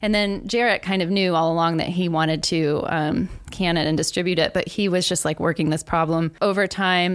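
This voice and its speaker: A woman speaks at a moderate pace with fairly even intonation and a fairly low pitch. She has a plain, everyday voice. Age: 40s. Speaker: coffee shop owner and city business official. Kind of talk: casual interview.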